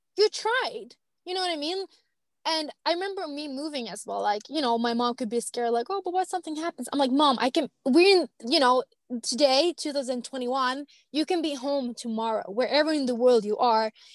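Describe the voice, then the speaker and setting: In a Swedish accent, a woman speaks at a high pitch, the sound dry and close with no echo. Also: lively intonation. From Finland, Swedish-speaking small town. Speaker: traveler and blogger. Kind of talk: casual interview chat. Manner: fast; animated.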